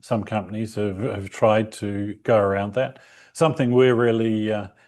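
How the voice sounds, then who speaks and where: Speaking at a moderate pace, a man with a New Zealand accent uses a fairly low pitch and fairly even intonation. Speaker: company representative being interviewed. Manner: hesitant, many fillers.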